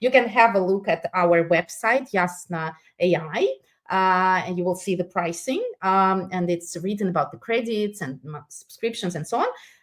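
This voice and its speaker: At a moderate pace, a woman with a non-native accent speaks at medium pitch with ordinary pitch variation and big swings in loudness. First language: not English. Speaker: product presenter. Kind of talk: webinar product demo and Q&A. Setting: online webinar. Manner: halting, many fillers.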